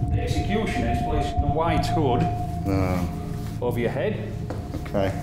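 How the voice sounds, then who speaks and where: A man talks at a moderate pace with audible room echo. Music plays in the background. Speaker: jail tour guide demonstrating an execution. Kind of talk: explanatory demonstration. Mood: grave, matter-of-fact. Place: hall.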